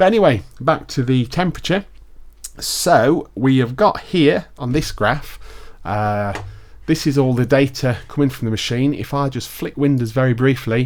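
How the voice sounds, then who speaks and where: A man with a British accent speaks at a medium pitch. His pace is moderate and his intonation lively. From UK. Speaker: tech product reviewer. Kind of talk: casual tutorial. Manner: casual, with fillers.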